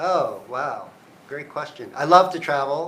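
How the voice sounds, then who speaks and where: A man keeps a moderate pace as room echo and noticeable background noise are heard. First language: Cantonese. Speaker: university provost. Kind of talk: live Q&A. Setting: office.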